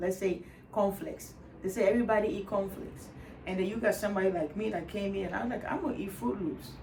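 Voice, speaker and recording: A woman speaks at a very fast pace in an animated tone, with medium pitch and ordinary pitch variation. Room echo is audible and background noise is noticeable. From Ghana. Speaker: Reiki healer. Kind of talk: casual chat. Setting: Reiki room in her apartment.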